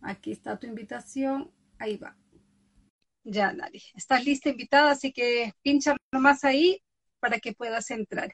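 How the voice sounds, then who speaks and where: Recorded dry and close with no echo, a woman with a high pitch talks at a fairly slow pace with ordinary pitch variation. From Ecuador. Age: 50s. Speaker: podcast host and author. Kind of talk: casual chat. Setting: Instagram live video.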